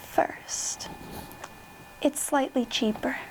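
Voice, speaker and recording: The speaker is soft-spoken and talks at a very slow pace. Background noise is noticeable. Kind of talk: book reading.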